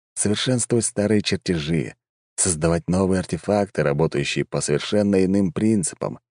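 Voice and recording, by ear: Pitch varies in an ordinary way as a person reads aloud in a natural voice. Behind the reading, all is quiet.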